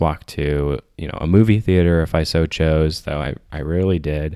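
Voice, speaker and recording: In an American accent, a man with a very deep, low pitch speaks at a moderate pace in a flat monotone. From Michigan, US. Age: 20s. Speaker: therapist. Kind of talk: casual chat.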